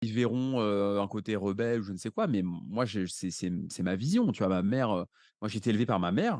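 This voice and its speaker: Against a quiet background, a man talks at a moderate pace in a fairly low voice with ordinary pitch variation. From France, Paris. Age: 30s. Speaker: real estate investor. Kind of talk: podcast interview. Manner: animated.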